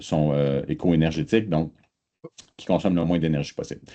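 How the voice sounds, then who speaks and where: A dark, mellow tone over a quiet background. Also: man. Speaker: research institute representative. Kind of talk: online presentation pitch. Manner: hesitant, many filler sounds.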